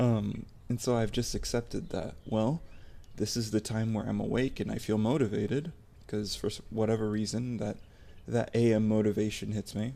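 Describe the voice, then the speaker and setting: Soft-spoken, a man talks at a moderate pace in a dark, mellow tone, his pitch fairly low and his intonation fairly even. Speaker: ASMR content creator. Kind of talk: personal vlog monologue. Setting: home recording at night. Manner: halting.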